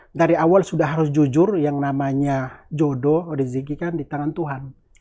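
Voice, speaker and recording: Over a quiet background, a man with a dark, mellow tone talks at a fairly quick pace in a fairly high pitch with fairly even intonation. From North Maluku, Indonesia. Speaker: Indonesian living in Gaza, aid worker. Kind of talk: casual interview about war experience. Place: home room. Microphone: lapel.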